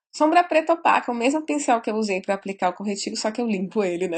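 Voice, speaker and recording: Animated and somewhat breathy, a woman speaks at a fairly high pitch. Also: quiet background. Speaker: beauty vlogger. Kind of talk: makeup tutorial.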